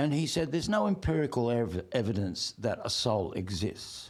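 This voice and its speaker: Vocal fry runs through a man's medium-pitched voice as it makes very wide pitch swings. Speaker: performer of songs and poetry. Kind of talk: podcast interview.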